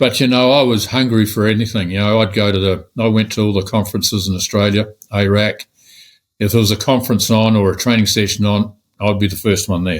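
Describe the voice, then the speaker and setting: A man with a New Zealand accent, fairly low pitch, fairly quick pace, fairly even intonation and very even loudness, on a very clean recording with a silent background. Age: 70s. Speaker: real estate agent. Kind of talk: interview.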